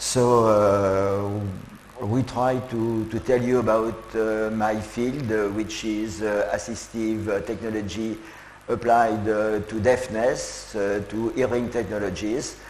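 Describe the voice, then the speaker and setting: Against noticeable background noise and audible room echo, a man with a fairly low voice speaks very slowly in a monotone, flat way. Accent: French. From France, Lyon. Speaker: professor. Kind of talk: keynote lecture. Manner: halting, many filler sounds.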